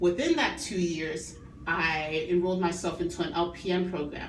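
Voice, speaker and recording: A woman's fairly low voice with ordinary pitch variation, amid noticeable background noise and audible room echo. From Chicago, Illinois (immigrated as a child). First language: not English. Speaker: nursing student. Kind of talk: class speech presentation.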